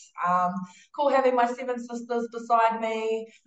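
Speaking with a New Zealand accent, a woman keeps a moderate pace. Her pitch is fairly high. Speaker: international rugby player. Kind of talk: casual interview chat.

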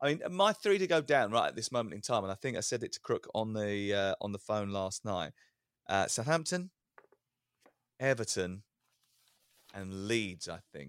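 A man with a British accent speaks at a fairly low pitch in very wide pitch swings, with long, frequent pauses. The recording is very clean, with a silent background and a dry, close sound with no echo. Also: moderate pace. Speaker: sports radio presenter. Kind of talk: casual football podcast chat.

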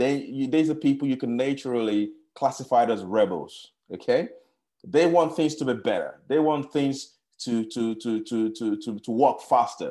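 A man's dark, mellow tone with ordinary pitch variation, set against a quiet background. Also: medium pitch for a man, moderate pace. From Nigeria. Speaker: startup founder. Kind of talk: interview.

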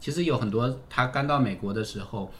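Speaking very fast, this man has a somewhat breathy quality to his voice. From China, Fujian. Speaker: political scientist, university postdoc lecturer. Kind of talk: casual interview conversation.

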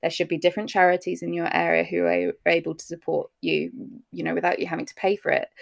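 A woman talks at a very fast pace in a dry, close sound with no echo. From UK. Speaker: maternal mental health therapist. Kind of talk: interview.

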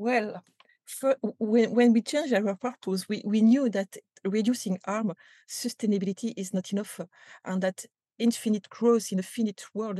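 Someone with a French accent speaks at a moderate pace with fairly even intonation, a dark, mellow tone and a somewhat breathy quality. The sound is dry and close with no echo, over a quiet background. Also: woman. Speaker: company culture executive. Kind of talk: interview. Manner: halting, many repetitions and fillers.

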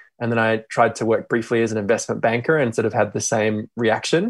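A man talks very fast with an Australian accent at a medium pitch. His intonation stays fairly even against a quiet background. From Australia (Perth). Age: 30s. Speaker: social entrepreneur, company CEO. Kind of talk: interview. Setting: remote call.

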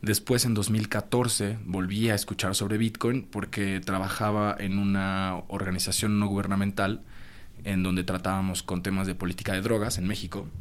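A man talks at a moderate pace in a fairly low pitch, his intonation monotone and flat. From Mexico. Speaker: cryptocurrency consultant. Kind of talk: interview. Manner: halting.

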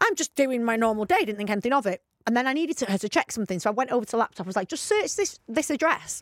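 A woman in a British accent, very fast, fairly high in pitch, with lively intonation. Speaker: podcast co-host. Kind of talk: casual chat. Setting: studio.

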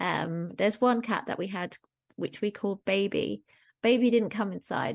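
A woman speaks at medium pitch and a moderate pace, with vocal fry. Her intonation is fairly even, and the background is quiet. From Germany. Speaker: charity founder and columnist. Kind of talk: casual chat.

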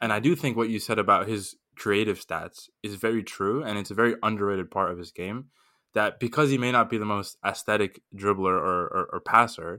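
On a very clean recording with a silent background, a man with an American accent speaks at a fairly quick pace, his fairly low voice bright and sharp in tone with ordinary pitch variation. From Miami, US. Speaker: Chelsea fan, football podcast panelist. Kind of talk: casual chat, football debate.

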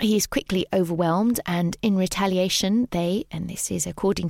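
Recorded very cleanly against a silent background, with a dry, close sound and no echo, a woman with a British accent speaks at a moderate pace and medium pitch, somewhat breathy, with fairly even intonation. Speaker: podcast host. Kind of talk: scripted narration about a Paris cemetery, casual tone.

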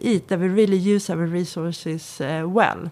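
A woman speaks with a Swedish accent. Her pace is fairly slow. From Sweden. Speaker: research centre director. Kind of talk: interview. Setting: studio.

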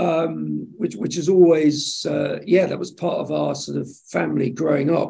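This is a man speaking. He has an English accent. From England, Suffolk. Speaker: television executive. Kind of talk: casual interview.

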